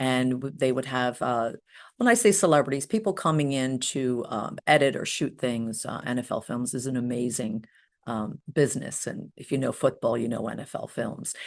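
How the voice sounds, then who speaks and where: Against a quiet background, a woman with a New Jersey accent speaks at a moderate pace in a very deep, low pitch with ordinary pitch variation. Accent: New Jersey American. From US Northeast, New Jersey. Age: 60s. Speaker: hypnotherapist. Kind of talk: interview. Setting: podcast.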